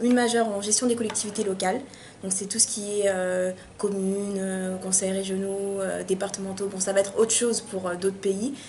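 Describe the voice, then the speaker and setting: Her medium pitch and monotone, flat intonation carry a woman's speech at a moderate pace. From France, Paris suburbs, Malian heritage. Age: 20s. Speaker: university student. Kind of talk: interview. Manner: hesitant, many fillers.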